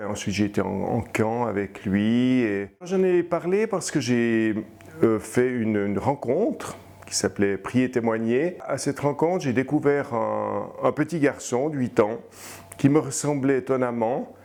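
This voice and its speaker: Noticeable background noise runs through the clip. A man speaks fairly slowly at a medium pitch, with lively intonation. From Switzerland, Fribourg. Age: 60s. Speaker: abuse survivor, retired librarian. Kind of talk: testimony. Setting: interview. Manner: halting, with hesitations and repetitions.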